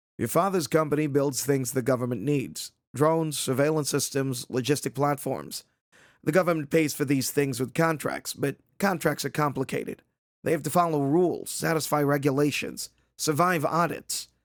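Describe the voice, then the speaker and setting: Using a put-on, raspy character voice, a man talks at a moderate pace with fairly high pitch and very even loudness. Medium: read story. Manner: precise, tired, matter-of-fact.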